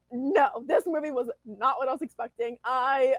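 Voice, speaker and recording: A loud, animated woman with ordinary pitch variation, in a dry, close sound with no echo. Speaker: movie podcast co-host. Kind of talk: casual chat. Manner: animated, loud.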